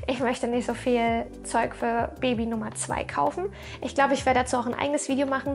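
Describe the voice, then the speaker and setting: At a moderate pace, a woman speaks with a high pitch. Noticeable background noise is present. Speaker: vlogger. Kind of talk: casual chat. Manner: animated.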